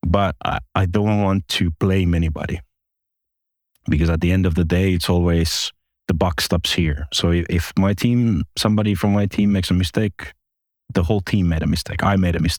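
A Finnish accent at a moderate pace, with very even loudness and fairly even intonation, in a very clean, silent-background recording with a dry, close sound and no echo. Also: man, very deep, low pitch for a man. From Finland, Espoo. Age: 40s. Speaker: online casino executive. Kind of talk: interview. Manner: halting, with many repetitions.

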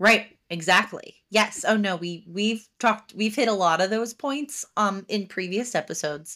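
A woman with an American accent, a medium pitch and a bright, sharp tone, at a moderate pace with ordinary pitch variation and hardly any pauses, on a very clean recording with a silent background. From New Jersey, Haddon Township. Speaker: podcast host. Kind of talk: casual interview chat.

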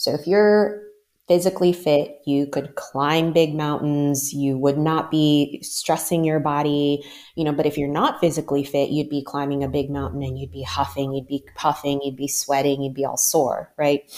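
Very deep and low in pitch, a woman with an American accent speaks with fairly even intonation. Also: moderate pace. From US Mid-Atlantic, Maryland. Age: 40s. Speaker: life coach. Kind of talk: interview.

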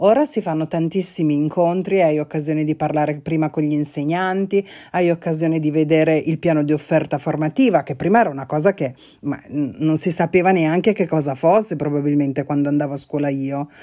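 A woman's very deep, low pitch with a dark, mellow tone, ordinary pitch variation and a fairly quick pace, on a very clean recording with a silent background. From Italy, not from Milan. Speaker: podcast co-host, journalist. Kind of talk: casual chat.

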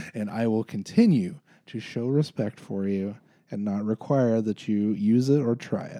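Speaking at a moderate pace, a man has a medium-pitched voice with a dark, mellow tone and ordinary pitch variation. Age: 40s. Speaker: podcast co-host. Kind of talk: casual chat.

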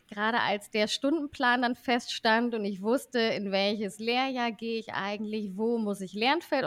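A woman's unremarkable speaking voice, fairly high with ordinary pitch variation and a moderate pace, on a very clean recording with a silent background and a dry, close sound with no echo. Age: 30s. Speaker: vocational school teacher. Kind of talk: interview.

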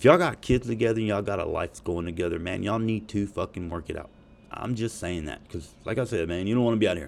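An animated man with a Southern US accent, fairly low in pitch, very fast, with ordinary pitch variation. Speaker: podcast host. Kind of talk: casual profane rant. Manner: animated, profane, joking.

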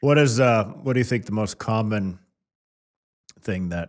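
In a very clean recording with a silent background, a man with an American accent talks at a moderate pace with ordinary pitch variation in an unremarkable speaking voice. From Kansas City. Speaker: podcast host. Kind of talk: interview.

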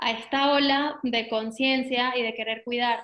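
A woman's raised, projected voice, bright and sharp in tone, at a fairly slow pace with fairly even intonation against a quiet background. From Venezuela. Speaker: eco shop founder. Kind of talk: interview.

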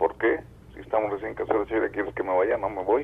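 With a Mexican accent, a man is talking. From Mexico. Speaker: caller. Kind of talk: phone-in storytelling. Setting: phone call.

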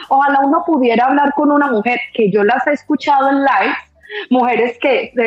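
A woman with a high-pitched voice speaks at a moderate pace. Noticeable background noise runs behind her. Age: 40s. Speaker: guest on sex-talk podcast. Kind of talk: casual chat. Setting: online live stream.

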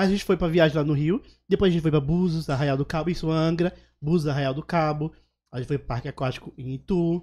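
A man speaks very fast with a slight northeastern Brazilian accent and a fairly high pitch. His tone is dark and mellow, his intonation fairly even, and the recording very clean with a silent background. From Alagoas, Northeast Brazil. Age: 30s. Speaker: comedian and social media influencer. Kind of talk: casual interview chat.

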